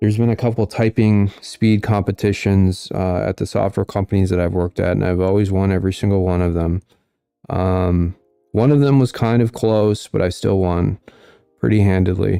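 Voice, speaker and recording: At a moderate pace, a man speaks at a fairly low pitch with a dark, mellow tone, the sound dry and close with no echo. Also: fairly even intonation. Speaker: political livestream host. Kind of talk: livestream commentary reading viewer comments. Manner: monotone.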